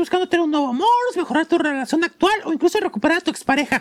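Very fast speech in a Mexican accent. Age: 20s. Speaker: podcast host. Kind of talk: casual chat. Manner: animated.

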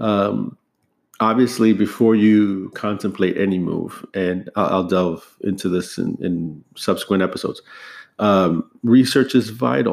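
In a very clean recording with a silent background, a man with a fairly low pitch speaks at a fairly slow pace with ordinary pitch variation. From USA. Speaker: podcast host. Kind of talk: solo podcast monologue. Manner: hesitant, many fillers.

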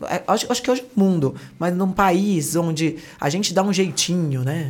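A woman talks in an unremarkable speaking voice with ordinary pitch variation. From Brazil, Santos (Baixada Santista). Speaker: entrepreneur, brand partnerships. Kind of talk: interview conversation.

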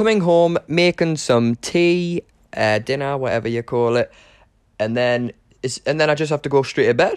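The intonation is lively, in a Geordie accent. The sound is dry and close, with no echo. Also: man, fairly high pitch for a man, moderate pace. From northern England, Newcastle upon Tyne. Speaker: podcast host, acting student. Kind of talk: casual monologue. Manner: hesitant, many fillers.

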